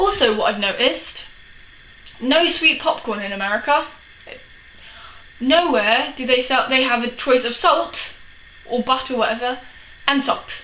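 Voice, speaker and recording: With a London accent, a woman speaks in a raised, projected voice at a high pitch, with ordinary pitch variation and a moderate pace. She takes long, frequent pauses over noticeable background noise. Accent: English, Chelsea London. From England, London. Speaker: vlogger. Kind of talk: casual vlog. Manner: animated.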